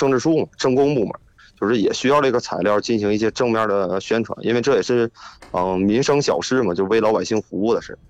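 A man with a Northeastern Chinese accent talks at a very fast pace with lively intonation. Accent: Northeastern Mandarin. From Northeast China. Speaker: police officer. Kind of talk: casual phone conversation. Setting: phone call.

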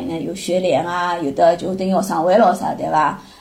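Against noticeable background noise, a woman with a Shanghainese accent speaks at a fairly quick pace. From Shanghai, China. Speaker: mother of a student abroad. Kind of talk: casual chat.

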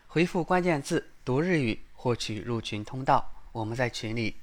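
A man with a Chinese accent speaks with ordinary pitch variation on a very clean recording with a silent background. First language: Chinese (speaking Japanese). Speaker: Japanese language podcast host. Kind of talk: reading aloud; podcast intro and outro.

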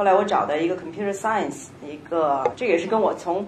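Talking at a very fast pace, a woman uses a medium pitch and ordinary pitch variation, with audible room echo and noticeable background noise around her. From Beijing, China. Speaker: tech company education manager. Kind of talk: panel discussion.

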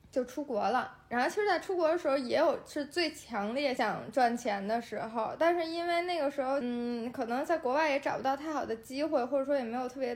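A woman's high-pitched voice with a strong Beijing accent, ordinary pitch variation and a fairly quick pace. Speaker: beauty influencer. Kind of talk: casual interview chat. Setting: home basement living room, on a sofa.

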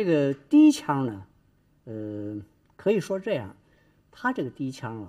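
Fairly high-pitched for a man, this somewhat breathy voice has a dark, mellow tone, very wide pitch swings and a fairly slow pace. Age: old. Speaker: Peking opera expert. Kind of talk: interview commentary. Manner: halting, many fillers.

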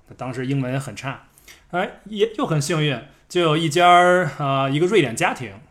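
Lively intonation marks a man's fairly high voice. He keeps a moderate pace with long, frequent pauses. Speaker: podcast co-host. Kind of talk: casual chat. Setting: at a friend's home.

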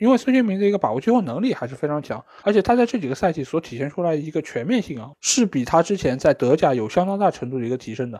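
Over a silent background on a very clean recording, a man talks very fast with hardly any pauses, a fairly high pitch, a dark, mellow tone and very wide pitch swings. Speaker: football podcast host. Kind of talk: solo match review commentary.

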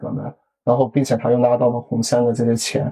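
Here a man speaks at a medium pitch with a dark, mellow tone. Vocal fry runs through his voice. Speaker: crypto enthusiast and programmer. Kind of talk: casual chat. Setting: video call.

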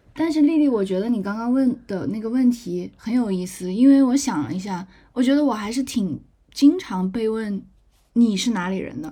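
At a moderate pace, a woman with a fairly high pitch sounds somewhat breathy in a very clean recording with a silent background. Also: lively intonation. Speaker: legal professional living abroad. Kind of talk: casual chat.

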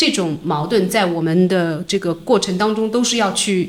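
With an ordinary speaking voice, a woman talks at a moderate pace. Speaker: film producer. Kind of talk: casual interview. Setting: office.

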